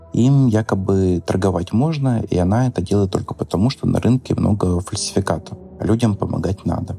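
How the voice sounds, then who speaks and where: Over music in the background, a man talks at a fairly quick pace in a fairly low pitch, with ordinary pitch variation and very even loudness. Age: 30s. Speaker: editor telling his story. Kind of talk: testimony.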